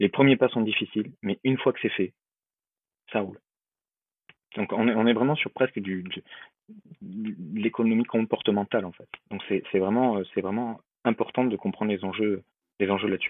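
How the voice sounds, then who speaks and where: Delivered at a moderate pace, the speech has fairly even intonation and long, frequent pauses. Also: man, fairly low pitch for a man. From Bordeaux, southwest France. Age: 20s. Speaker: wealth management advisor. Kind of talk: podcast interview. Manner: verbose, repetitive hesitations.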